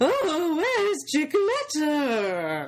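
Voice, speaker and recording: A female-sounding put-on character voice comes through over clear background noise. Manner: exaggerated, cartoonish.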